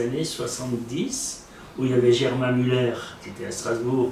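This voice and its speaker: Amid noticeable background noise and audible room echo, a man talks at a moderate pace in a fairly high pitch. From Alsace, France. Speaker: author. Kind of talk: casual chat.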